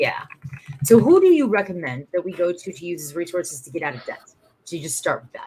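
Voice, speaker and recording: Loudly and at a very fast pace, a woman speaks. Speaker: small business event organizer. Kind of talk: live-stream conversation. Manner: animated.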